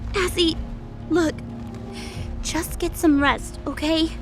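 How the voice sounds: Over clear background music, a woman does a put-on character voice at an extremely high pitch, speaking slowly with fairly even intonation.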